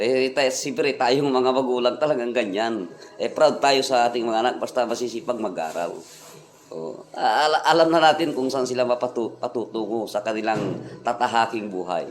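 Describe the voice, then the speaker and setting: Over noticeable background noise, a man speaks at medium pitch and a moderate pace with ordinary pitch variation. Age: middle-aged. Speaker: vlogger and tricycle driver. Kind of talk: casual vlog monologue. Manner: halting, many fillers.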